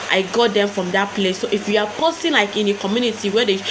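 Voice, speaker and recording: Noticeable background noise surrounds a woman who talks at a fairly quick clip in an animated tone. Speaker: YouTube growth tips creator. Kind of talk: casual tutorial to camera. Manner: fast; animated, repetitive.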